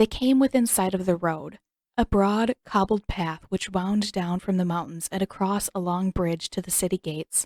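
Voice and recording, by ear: Over a quiet background, a natural voice reads aloud with ordinary pitch variation.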